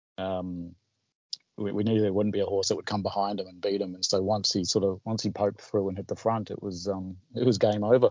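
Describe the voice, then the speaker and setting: A man speaks at a fairly quick pace with a fairly low pitch and monotone, flat intonation. His loudness swings widely. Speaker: betting tipping service founder. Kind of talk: casual interview.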